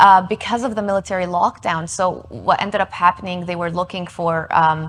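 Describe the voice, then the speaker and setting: Music plays in the background as a woman with a medium-pitched voice speaks fairly quickly with fairly even intonation. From West Bank, Palestine (Ramallah). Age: 20s. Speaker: community advocate. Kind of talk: interview. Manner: halting.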